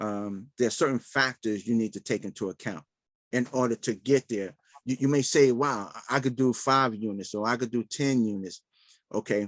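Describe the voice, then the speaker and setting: The background stays quiet. This man's pitch varies in an ordinary way. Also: medium pitch for a man, moderate pace, dry, close sound with no echo. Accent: New York. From Brooklyn, New York (Bed-Stuy). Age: 60s. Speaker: real estate investor. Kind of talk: live Q&A session. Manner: halting.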